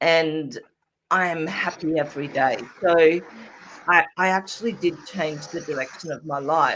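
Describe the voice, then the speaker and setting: A woman has an unremarkable speaking voice. She talks at a fairly slow pace with a fairly low pitch. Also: fairly even intonation. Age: 60s. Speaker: energy healer. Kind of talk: interview testimony.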